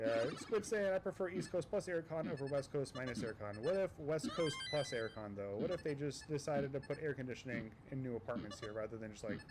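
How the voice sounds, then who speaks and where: An American-accented man talks at a fairly quick pace. His pitch is fairly high, with noticeable background noise behind him. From US, Virginia Beach. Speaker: Tetris commentator and streamer. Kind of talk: live commentary. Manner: casual, rambling with fillers.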